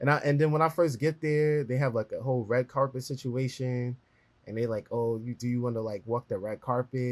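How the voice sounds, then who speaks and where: At a fairly quick pace, a man of medium pitch talks with fairly even intonation. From New York City (Brooklyn). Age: 20s. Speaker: journalist and editor. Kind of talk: interview conversation.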